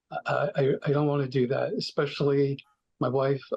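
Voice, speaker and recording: Somewhat breathy, a man speaks with a fairly high pitch. His pace is moderate. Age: 60s. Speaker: participant in recovery group. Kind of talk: personal sharing. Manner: halting, many fillers.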